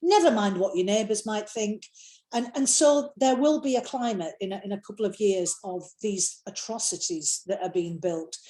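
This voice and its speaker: A woman's dark, mellow voice at medium pitch, in a Yorkshire accent, with lively intonation and a moderate pace. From Yorkshire, England. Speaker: novelist. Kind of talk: interview answer.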